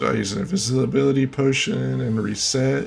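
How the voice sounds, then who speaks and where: With music in the background, a man moves through his words at a fairly slow pace. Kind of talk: gameplay commentary. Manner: monotone.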